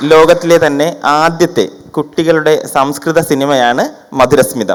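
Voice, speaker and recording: With an unremarkable speaking voice, a man talks fairly high for a male, his pitch varying in an ordinary way. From Kerala, Trivandrum. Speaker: film director and Sanskrit teacher. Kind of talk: formal speech.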